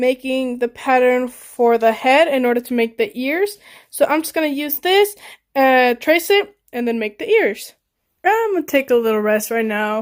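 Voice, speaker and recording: Her voice is high-pitched, with lively intonation. The woman speaks at a moderate pace over a quiet background. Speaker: fursuit maker / craft vlogger; craft vlogger. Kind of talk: crafting vlog narration. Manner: casual, chatty; loud and clear. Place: home room. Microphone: phone near.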